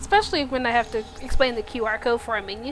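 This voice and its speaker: A woman's voice moves through very wide pitch swings. Noticeable background noise runs behind her. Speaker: streamer. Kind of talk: casual chat. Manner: fast.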